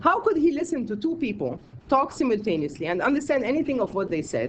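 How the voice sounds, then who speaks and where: The speech goes by at a very fast pace. Noticeable background noise sits behind it. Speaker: academic conference presenter; scholar of medieval Islamic medicine. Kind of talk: conference talk read from a paper. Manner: reading aloud, measured.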